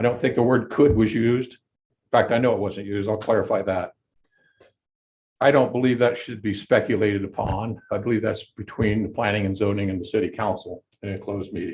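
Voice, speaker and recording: A man with a fairly low pitch talks at a fairly quick pace, his somewhat breathy voice keeping a fairly even intonation while its loudness swings widely. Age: 70s. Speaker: golf course owner speaking at public comment. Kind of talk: public comment at city council meeting. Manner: halting.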